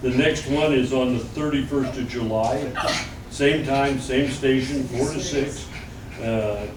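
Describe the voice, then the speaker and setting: Speaking with an American accent, a man talks at a fairly slow pace in a medium pitch, with monotone, flat intonation. Noticeable background noise and audible room echo fill the recording. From Arkansas, US South. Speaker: retired engineering designer giving a history talk. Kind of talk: public talk to a small audience. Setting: museum with live audience. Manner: casual, folksy.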